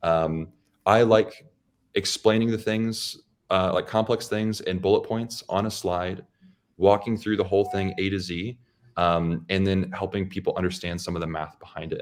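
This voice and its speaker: At a moderate pace, a man talks in a fairly low pitch on a very clean recording with a silent background. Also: fairly even intonation. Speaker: loan officer and YouTube educator. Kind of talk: interview conversation. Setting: podcast interview. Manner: monotone; calm.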